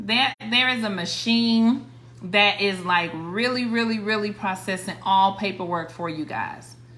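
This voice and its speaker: Against noticeable background noise, a woman with an American accent speaks at a medium pitch and a fairly slow pace, with ordinary pitch variation. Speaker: credit repair coach, livestreamer. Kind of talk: livestream tutorial. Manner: casual, repetitive with restarts.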